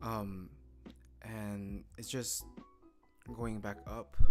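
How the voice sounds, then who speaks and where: A man with a non-native accent, with music in the background. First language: not English. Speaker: day trader streamer. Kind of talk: live trading commentary. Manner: halting.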